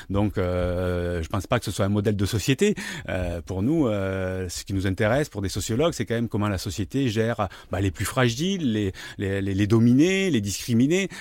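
This man's fairly low voice shows ordinary pitch variation as he talks at a moderate pace. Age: 50s. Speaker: sociologist. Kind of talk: interview. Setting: studio with armchairs and two mics. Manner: halting, frequent repetitions and hesitations.

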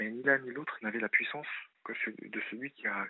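A man speaks in a normal speaking voice at medium pitch, with ordinary pitch variation. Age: 30s. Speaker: caller. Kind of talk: appeal for donations.

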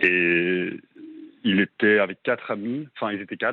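A man with a fairly low voice. His intonation stays fairly even at a fairly slow pace. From Belgium. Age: 20s. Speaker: radio caller. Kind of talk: testimony. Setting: phone call. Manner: halting. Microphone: clear line with slight delay.

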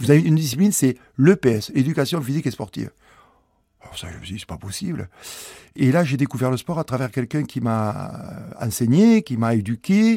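A man with a southwestern French accent speaks at a fairly quick pace with a dark, mellow tone, very wide pitch swings and long, frequent pauses. The sound is dry and close with no echo, in a very clean recording with a silent background. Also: medium pitch for a man. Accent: southwest French. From southwest France, rural village. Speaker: former rugby player turned entrepreneur. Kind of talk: testimony. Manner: hesitant, filler-heavy.

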